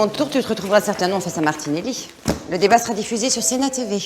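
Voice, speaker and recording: A woman at a very fast pace, intonation lively. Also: medium pitch for a woman. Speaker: actress. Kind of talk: acting showreel of dramatic scenes.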